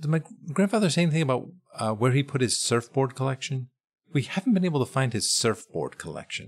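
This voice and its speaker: A man with a fairly high voice rattles along at a very fast pace with lively intonation. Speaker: podcast host. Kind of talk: improvised comedy interview. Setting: theater stage.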